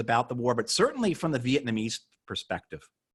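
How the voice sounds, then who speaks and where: A man with an American accent, medium in pitch, at a very fast pace. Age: 40s. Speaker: moderator, veterans' group board member. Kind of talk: interview conversation. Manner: halting.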